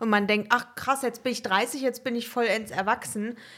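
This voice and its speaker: Moderately paced, a woman talks in an unremarkable speaking voice with fairly even intonation. The recording is very clean, with a silent background. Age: 20s. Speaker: podcast co-host. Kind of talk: casual chat.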